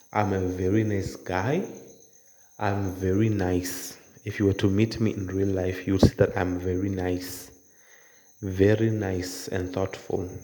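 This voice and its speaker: A man with a very deep, low voice and a dark, mellow tone speaks in a monotone, flat intonation. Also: fairly slow pace. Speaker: drawing tutor. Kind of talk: casual talk to camera. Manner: casual, conversational.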